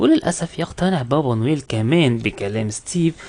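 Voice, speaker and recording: Moderately paced, a man with an Egyptian accent speaks in a dark, mellow tone. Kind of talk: movie recap narration. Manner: casual, conversational.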